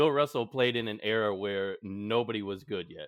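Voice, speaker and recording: In an American accent, a man with an unremarkable speaking voice and a fairly low pitch talks at a fairly quick pace with ordinary pitch variation. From Texas. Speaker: podcast host. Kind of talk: casual chat.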